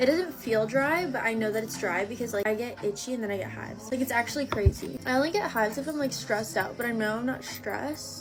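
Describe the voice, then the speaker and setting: Over music in the background, a woman talks at a very fast pace with hardly any pauses, a fairly high pitch and lively intonation. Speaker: beauty vlogger. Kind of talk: casual chat.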